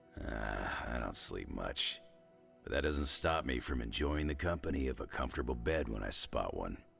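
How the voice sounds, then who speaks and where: A man's raspy, put-on character voice, very deep and low, at a moderate pace over clear music in the background. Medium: video game. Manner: gruff, dry, sarcastic.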